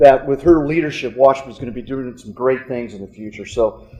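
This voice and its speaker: Medium-pitched man with an American accent and fairly even intonation. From Kansas. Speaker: business consultant. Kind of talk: speech to alumni audience. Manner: halting with many fillers.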